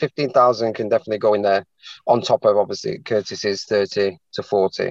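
A man speaks with a Mancunian accent at a moderate pace. His pitch varies in an ordinary way, and the sound is dry and close with no echo. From Manchester, England. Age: 40s. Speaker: salesman, aspiring property investor. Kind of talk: consultation call. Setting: call. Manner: halting.

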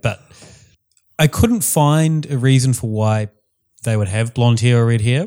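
On a very clean recording with a silent background, a man with a New Zealand accent speaks at a moderate pace. His pitch is medium and his intonation lively. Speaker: podcast co-host. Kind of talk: casual chat.

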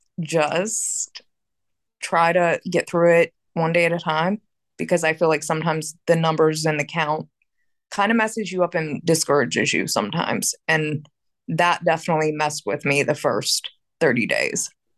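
A woman's very deep, low voice with an American accent, ordinary pitch variation and a moderate pace, in a dry, close sound with no echo. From Pittsburgh, Pennsylvania. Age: 30s. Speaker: guest in recovery. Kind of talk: casual chat.

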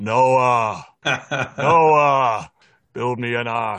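Against a quiet background, a man puts on a booming character voice at a medium pitch. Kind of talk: theatrical. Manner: commanding, grand.

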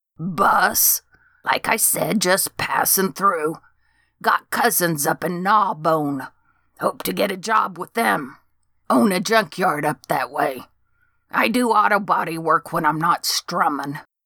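A female-sounding, put-on character voice at middle pitch speaks at a fairly slow pace on a very clean recording with a silent background. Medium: read story. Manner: eager, excitable, rambling.

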